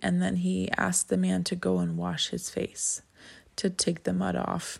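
The recording is very clean, with a silent background. A woman speaks at a fairly slow pace. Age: 30s. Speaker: religious podcast host. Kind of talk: casual devotional monologue. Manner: halting, frequent fillers.

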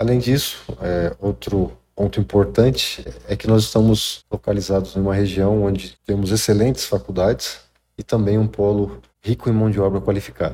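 Somewhat breathy, a man with a fairly low pitch and a dark, mellow tone speaks at a moderate pace with ordinary pitch variation. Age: 40s. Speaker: industrial project manager. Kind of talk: interview. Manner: halting.

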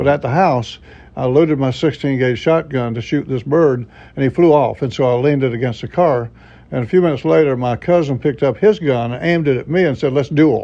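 In a Florida panhandle accent, a man talks at a fairly quick pace and a fairly high pitch. His tone is dark and mellow, with ordinary pitch variation. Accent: Southern US (Florida panhandle). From Florida panhandle, US South. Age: 70s. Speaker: retired pastor. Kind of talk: interview, personal testimony. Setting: studio.

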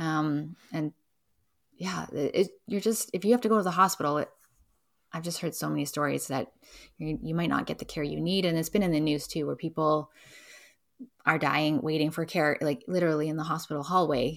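A woman with a Canadian accent speaks at a fairly quick pace in a very deep, low voice with vocal fry and ordinary pitch variation. Her long, frequent pauses stand out on a very clean recording with a silent background. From Vancouver, Canada. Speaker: local food distribution business owner. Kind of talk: casual interview.

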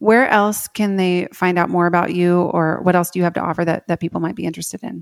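A woman talks at a very fast pace with hardly any pauses, her fairly low voice held to a fairly even intonation in a dry, close sound with no echo. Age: 30s. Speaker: podcast host and writing coach. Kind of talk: interview.

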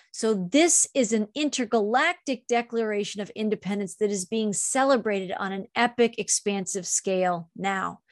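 Against a quiet background, a woman with an ordinary speaking voice and a fairly high pitch talks at a moderate pace with ordinary pitch variation, hardly any pauses and a dry, close sound with no echo. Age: 50s. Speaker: spiritual author and channeler. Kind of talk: channeled spiritual monologue.

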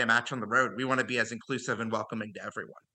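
A man speaks with an American accent in a bright, sharp tone. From Ohio, US Midwest (Cincinnati). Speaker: soccer supporter group organizer. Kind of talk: casual interview.

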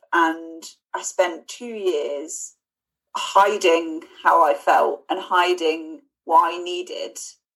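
Speaking at a very slow pace, a woman has a southern English accent. Her loudness swings a lot. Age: 20s. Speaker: fundraiser. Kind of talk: casual chat.

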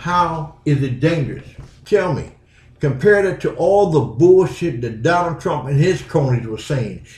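A man speaks at a moderate pace with a fairly high pitch and lively intonation. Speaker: podcast host. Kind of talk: angry opinion rant, fiery podcast monologue. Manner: blunt, outspoken, fired-up and indignant; rhetorical, confrontational, emphatic.

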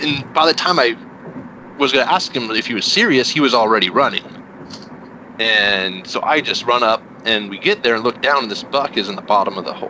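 A man with a medium pitch speaks at a fairly quick pace, his intonation lively, over noticeable background noise. He leaves long, frequent pauses. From New Mexico. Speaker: hunter. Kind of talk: casual chat. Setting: phone call.

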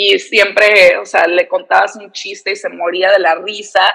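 A woman's voice at a fairly slow pace. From San Diego, US-Mexico border. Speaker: reporter and TV presenter. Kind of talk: casual interview chat.

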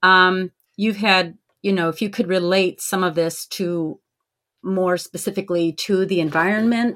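A woman's medium-pitched voice with an American accent, fairly even intonation, and a moderate pace, in a very clean recording with a silent background. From Syracuse, New York. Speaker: podcast co-host, Mohawk Nation citizen. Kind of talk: interview. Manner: hesitant, many fillers.

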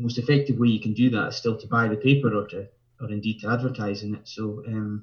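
Talking at a fast pace, a man keeps a fairly low pitch with little pitch movement.

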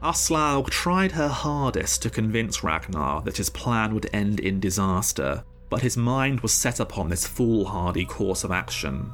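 A man with a fairly low pitch and vocal fry speaks at a fairly slow pace with hardly any pauses, his pitch swinging very widely. His tone is dramatic and his loudness very even. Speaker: narrator and podcast host. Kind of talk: epic saga narration, scripted storytelling. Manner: dramatic, measured, vivid storyteller.

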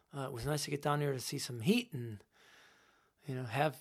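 A somewhat breathy man with a fairly high pitch, an American accent and a fairly quick pace. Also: very clean recording, silent background. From Buffalo, New York area. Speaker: musician. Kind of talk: casual chat. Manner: hesitant, many fillers.

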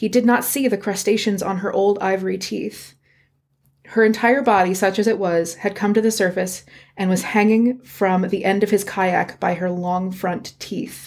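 In an ordinary speaking voice with an American accent, a woman talks at a medium pitch and moderate pace with fairly even intonation, on a very clean recording with a silent background. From Virginia, US. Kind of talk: casual chat and storytelling. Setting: home recording with cat.

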